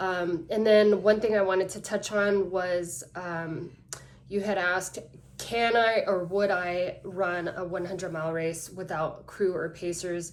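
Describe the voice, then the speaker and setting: In an American accent, a woman speaks at a fairly slow pace with monotone, flat intonation, and audible room echo surrounds her voice. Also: medium pitch for a woman. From San Diego, California. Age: 30s. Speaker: ultrarunner. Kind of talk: application video monologue. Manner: hesitant, many fillers.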